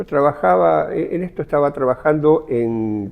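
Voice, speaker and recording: A man with a Rioplatense accent speaks in a dark, mellow tone. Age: 70s. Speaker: former blacksmith, witness. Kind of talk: testimony.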